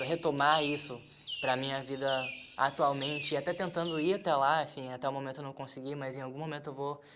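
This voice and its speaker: At a moderate pace the speech continues while noticeable background noise is present. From interior of Rio de Janeiro state, Brazil. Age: 20s. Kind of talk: testimony.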